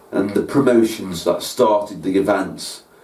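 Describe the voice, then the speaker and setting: A man with a Staffordshire accent, amid noticeable background noise and audible room echo. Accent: Stoke-on-Trent (Potteries). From Stoke-on-Trent, England. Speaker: music producer and show host. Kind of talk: scripted presentation.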